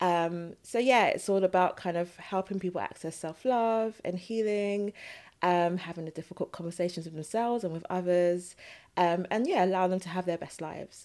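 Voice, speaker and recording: In a very clean recording with a silent background, a woman with a plain, everyday voice speaks at a moderate pace and medium pitch, her intonation fairly even. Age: 30s. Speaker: psychotherapist and author. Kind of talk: casual chat.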